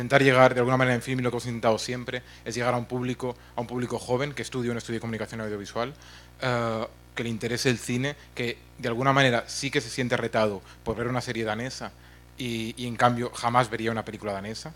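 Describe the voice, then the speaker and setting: A man talks at a very fast pace in a monotone, flat way. Music plays in the background. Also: medium pitch for a man. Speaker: film platform executive. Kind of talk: conference talk. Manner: mumbling.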